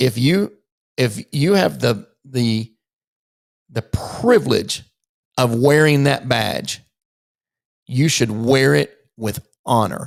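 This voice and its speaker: The man talks at a very slow pace. The sound is dry and close, with no echo. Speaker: former police officer commentating on police videos. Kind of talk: video commentary.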